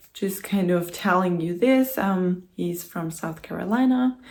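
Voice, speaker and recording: In a German accent, a woman speaks with lively intonation and a somewhat breathy voice on a very clean recording with a silent background. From Germany. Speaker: vlogger. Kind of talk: casual vlog talk to camera. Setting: home, in front of the camera. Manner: hesitant, with many fillers.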